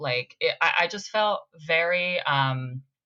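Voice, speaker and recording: A woman with a slight Brazilian accent speaks at a fairly low pitch with a bright, sharp tone. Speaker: actor. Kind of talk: casual chat.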